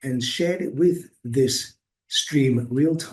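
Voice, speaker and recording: Somewhat breathy and dark, mellow in tone, a man's medium-pitched voice moves with ordinary pitch variation. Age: 60s. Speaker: activist vlogger reviewing a course. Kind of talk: casual video review. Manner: halting, many fillers and repetitions.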